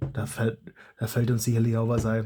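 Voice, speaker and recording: A man's dark, mellow voice, somewhat breathy, stays flat and monotone at a fairly slow pace. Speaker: YouTuber, foam blaster modder. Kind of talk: casual vlog monologue. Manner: halting, with many restarts.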